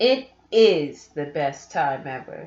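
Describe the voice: With audible room echo, a woman puts on a character voice that is low in pitch and slightly mellow in tone, moving slowly with big pitch swings.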